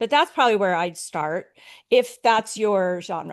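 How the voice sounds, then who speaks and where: The voice has vocal fry and ordinary pitch variation. The background is quiet. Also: woman. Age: 60s. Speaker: author marketing consultant. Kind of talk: interview on a panel webinar.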